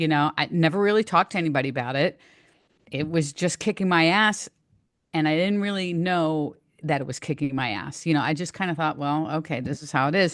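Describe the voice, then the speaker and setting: The voice moves at a fairly quick pace with ordinary pitch variation against a quiet background. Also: woman. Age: 60s. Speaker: nutrition and fitness coach. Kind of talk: podcast interview. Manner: halting, with frequent restarts.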